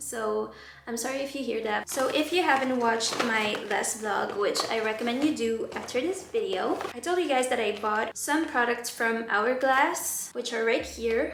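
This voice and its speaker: A woman with a high pitch and a non-native accent talks at a moderate pace with hardly any pauses and ordinary pitch variation. Noticeable background noise and audible room echo are present. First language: not English. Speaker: beauty vlogger. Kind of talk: casual chat. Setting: at home by a window. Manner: chatty.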